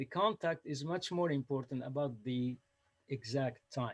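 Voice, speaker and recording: Speaking in a Lebanese accent, a man uses a fairly high pitch with ordinary pitch variation. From Lebanon. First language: Arabic (Lebanese). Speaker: storyteller. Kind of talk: storytelling. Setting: video call. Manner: halting.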